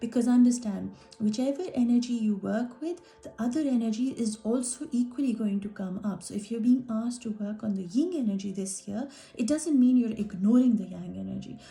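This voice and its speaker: Music plays in the background as a woman speaks at a moderate pace. Her pitch is fairly high, with ordinary pitch variation. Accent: non-native. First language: not English. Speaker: art healer. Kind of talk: workshop talk.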